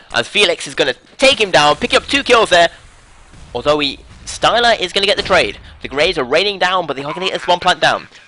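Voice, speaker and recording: A man speaks at a very fast pace in a high pitch with lively intonation. Noticeable background noise is present. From Britain. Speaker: esports caster. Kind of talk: live commentary. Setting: live stream.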